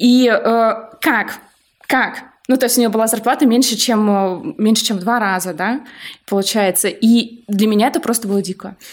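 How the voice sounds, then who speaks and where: An ordinary speaking voice is heard at a moderate pace. The pitch varies in an ordinary way. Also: woman, fairly high pitch for a woman. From Russia, outside Moscow. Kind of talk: casual chat.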